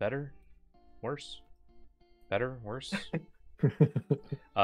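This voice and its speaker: Music plays in the background behind a voice with ordinary pitch variation and a dry, close sound with no echo. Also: man, fairly high pitch for a man. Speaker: streamer playing a card game.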